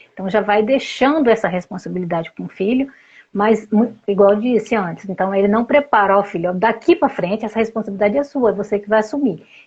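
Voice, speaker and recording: Somewhat breathy, a woman speaks at a fairly high pitch and a fairly quick pace with ordinary pitch variation. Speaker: family therapist. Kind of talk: interview.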